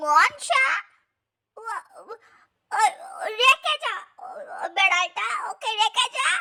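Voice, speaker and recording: In a put-on character voice, a woman speaks at a moderate pace in an extremely high pitch with very wide pitch swings, the sound dry and close with no echo. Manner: stammering, agitated.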